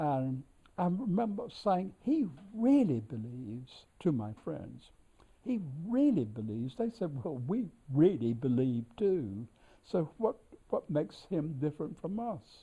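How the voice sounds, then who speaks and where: Dark and mellow, a man's voice makes very wide pitch swings. His pace is fairly slow. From North Carolina, US South. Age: 80s+. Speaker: scholar and editor of an author's works. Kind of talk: reminiscence during a tour. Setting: library of a historic house. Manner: halting with many fillers.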